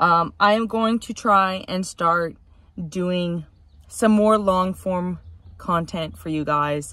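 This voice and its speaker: A woman speaks very slowly in a fairly low voice with ordinary pitch variation. The sound is dry, with no echo. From Canada. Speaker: car enthusiast YouTuber. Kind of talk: casual vlog update. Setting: inside a car. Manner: hesitant, many fillers. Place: car. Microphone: phone near.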